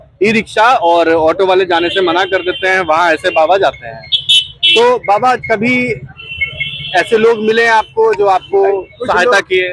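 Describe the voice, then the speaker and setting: Noticeable background noise sits behind a man's high-pitched voice. His intonation is lively. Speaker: ground reporter. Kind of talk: street interview host talk. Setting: outdoors.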